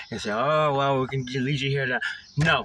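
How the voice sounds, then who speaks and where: A man speaks at a fairly high pitch. There is noticeable background noise. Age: 30s. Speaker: recovering alcoholic vlogger. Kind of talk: personal testimony monologue. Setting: in a car.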